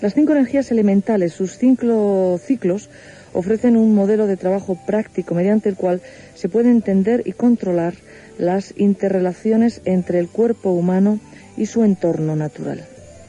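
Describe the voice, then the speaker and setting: Music plays in the background as a woman speaks. Her pitch is medium, with ordinary pitch variation. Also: moderate pace. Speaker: radio host. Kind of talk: radio program introduction, explanatory narration.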